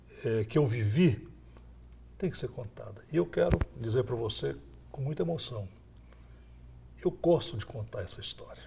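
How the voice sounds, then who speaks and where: His speech has long, frequent pauses and big swings in loudness. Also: moderate pace. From Brazil, Goiás (Goiânia). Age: 60s. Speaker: former state governor. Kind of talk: interview.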